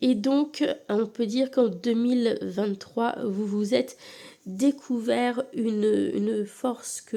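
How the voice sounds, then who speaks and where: A woman's dark, mellow tone at a fairly high pitch. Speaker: tarot card reader. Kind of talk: tarot reading video. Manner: casual, hesitant with fillers.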